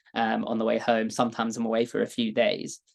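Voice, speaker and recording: A man with a British accent speaks at a moderate pace, the sound dry and close with no echo. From London, England. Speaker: data engineer, product expert. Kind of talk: webinar presentation.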